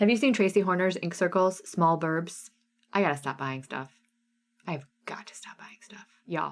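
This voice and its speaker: A woman's fairly low voice, animated in tone, with lively intonation and big swings in loudness. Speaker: cross stitch designer and live sale host. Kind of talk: live stream sale with chat. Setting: live stream. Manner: fast.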